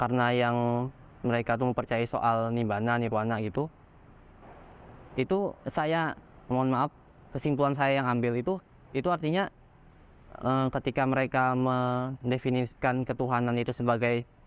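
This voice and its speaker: A man talks at a moderate pace and a medium pitch, with fairly even intonation. His loudness stays very even, broken by long, frequent pauses. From Bangka Belitung, Indonesia, Chinese-Indonesian. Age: 20s. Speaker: religious convert. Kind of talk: testimony interview. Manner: casual with hesitations and self-corrections.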